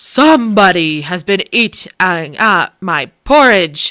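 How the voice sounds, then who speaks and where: A woman puts on a gruff character voice at a medium pitch. She talks at a fairly slow pace. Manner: indignant, booming.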